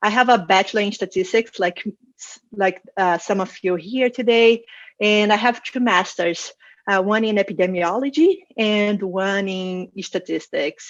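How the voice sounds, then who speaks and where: Speaking with a Brazilian Portuguese accent, a woman keeps a fairly slow pace and fairly even intonation. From Brazil, Rio de Janeiro. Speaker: data science manager and conference speaker. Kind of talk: conference talk. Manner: hesitant with fillers and repetitions.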